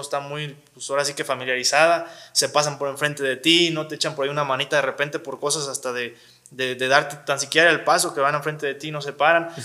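Speaking at a fairly quick pace, a man with a fairly high pitch keeps his intonation fairly even. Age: 20s. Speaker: wheelchair user sharing his story. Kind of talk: interview. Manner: halting, many fillers.

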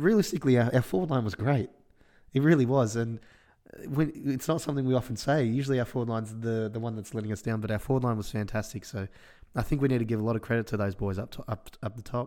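A man speaks with an Australian accent. His medium pitch shows ordinary variation. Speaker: football podcast host. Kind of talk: casual sports chat, match review.

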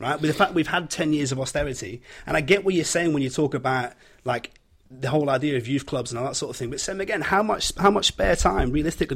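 With a Yorkshire accent, a man talks at a very fast pace in a somewhat breathy, fairly high voice with ordinary pitch variation. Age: 30s. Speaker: podcast guest. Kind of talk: casual discussion.

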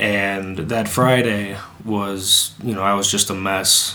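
A man with a fairly low pitch speaks very slowly in a flat monotone, with audible room echo and noticeable background noise. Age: 20s. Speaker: podcast co-host. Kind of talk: casual chat.

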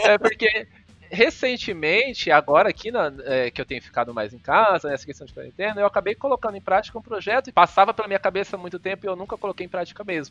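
Over music in the background, a man speaks very fast with lively intonation and big swings in loudness, in a dry, close sound with no echo. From Cuiabá, Mato Grosso, Brazil. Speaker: psychologist and lecturer. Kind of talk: casual interview chat. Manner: halting, many fillers.

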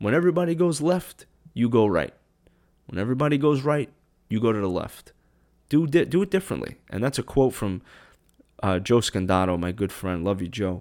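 On a very clean recording with a silent background, a man talks at a fairly quick pace with long, frequent pauses and very wide pitch swings. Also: medium pitch for a man. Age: 30s. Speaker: podcast host. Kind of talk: solo anniversary monologue. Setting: home kitchen, solo mic. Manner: low-key.

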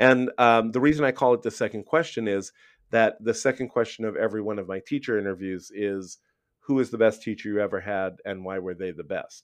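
An ordinary speaking voice with an American accent moves at a fairly quick pace with ordinary pitch variation. The background is quiet. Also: man, medium pitch for a man. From Brooklyn, New York. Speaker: podcast host, public school educator. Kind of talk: casual interview.

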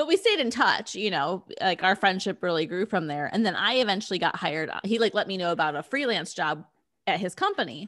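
In an American accent, a woman talks at a fairly quick pace and a medium pitch with lively intonation, in an unremarkable speaking voice. The recording is very clean, with a silent background. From Cleveland, Ohio. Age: 30s. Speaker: podcast producer and host. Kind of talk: casual chat.

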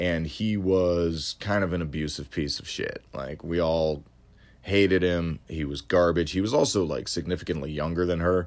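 Very deep and low, a man's voice keeps fairly even intonation at a moderate pace. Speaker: solo podcast host. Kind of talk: casual monologue. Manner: many fillers and hesitations.

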